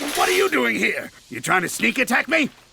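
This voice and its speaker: A man does a cartoonish character voice at an extremely high pitch and a fairly quick pace. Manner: sarcastic, blustering.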